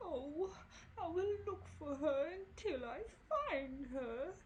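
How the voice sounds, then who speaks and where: A put-on character voice, pitched high and delivered at a very slow pace. Background noise is clearly audible. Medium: read story. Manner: mild, hesitant.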